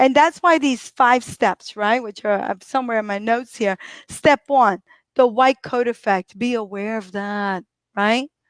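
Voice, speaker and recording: At a fairly slow pace, a woman speaks in an animated tone with a fairly high pitch and ordinary pitch variation, the sound dry and close with no echo on a very clean recording with a silent background. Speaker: physical therapist. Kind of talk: live stream talk.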